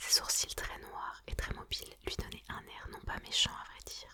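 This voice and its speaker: A woman whispers over noticeable background noise. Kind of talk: audiobook reading. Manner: whispered.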